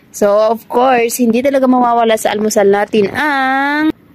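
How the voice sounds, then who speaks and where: The speaker is a woman. She keeps a moderate pace with ordinary pitch variation. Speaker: vlogger, overseas domestic worker. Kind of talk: casual vlog chat. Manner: animated, chatty.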